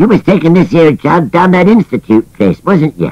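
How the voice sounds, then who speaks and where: A man performs in a put-on character voice. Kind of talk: comic character voice. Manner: grumbling, cantankerous.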